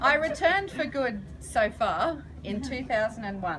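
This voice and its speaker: Very wide pitch swings mark a woman's speech in an Australian accent, with noticeable background noise. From Australia, Gunnedah, New South Wales. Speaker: charity founder and counsellor. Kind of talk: public speech. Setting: launch event with audience.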